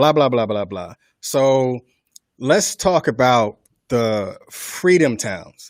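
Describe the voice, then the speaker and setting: A man talks at a very slow pace and medium pitch. The sound is dry and close, with no echo. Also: lively intonation. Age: 40s. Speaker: radio host. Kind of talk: online radio show discussion.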